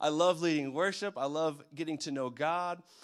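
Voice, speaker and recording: A man with a normal speaking voice, ordinary pitch variation and a moderate pace, in a very clean recording with a silent background. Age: 30s. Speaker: youth pastor. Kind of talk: sermon. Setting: church. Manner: casual.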